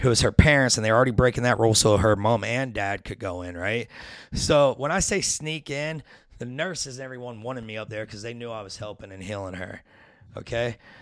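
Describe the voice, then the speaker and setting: With a plain, everyday voice, a man speaks fairly quickly at medium pitch with ordinary pitch variation and big swings in loudness, on a very clean recording with a silent background. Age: 40s. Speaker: addiction recovery and spiritual guest. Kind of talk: casual chat.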